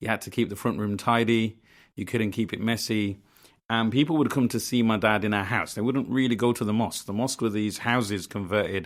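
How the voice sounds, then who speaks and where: This man speaks with a Birmingham accent at a medium pitch, moving at a fairly quick pace with fairly even intonation. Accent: Birmingham (Brummie) English. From Birmingham, England (Lozells), family from Bangladesh. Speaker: community organiser. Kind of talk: interview. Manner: hesitant, many fillers.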